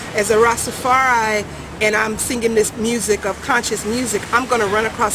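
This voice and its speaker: A woman with an American accent talks at a fairly quick pace in a fairly high pitch. Her intonation is monotone and flat, and background noise is noticeable. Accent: American accent noticed by Jamaicans. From California. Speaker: reggae singer. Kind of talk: interview. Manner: halting.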